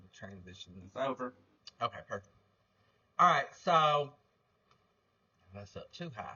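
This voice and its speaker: With an Alabama accent, a man talks with ordinary pitch variation. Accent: Southern US (Alabama). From North Alabama. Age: 30s. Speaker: podcast host, livestreamer. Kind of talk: livestream commentary. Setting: livestream. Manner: loud; casual, filler-heavy.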